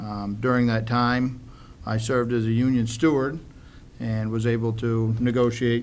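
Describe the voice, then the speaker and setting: A man talks in a flat monotone. Room echo is audible. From Maine. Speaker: town council candidate, sheriff's officer. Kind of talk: candidate forum speech. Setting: public forum in high school, with audience. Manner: hesitant, some fillers.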